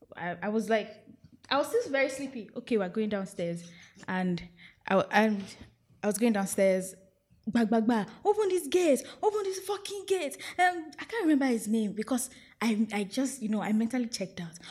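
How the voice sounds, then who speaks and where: A woman's somewhat breathy, fairly high voice with a Nigerian accent, very wide pitch swings, a moderate pace and long, frequent pauses. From Nigeria, outside Lagos. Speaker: podcast guest. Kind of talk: casual chat.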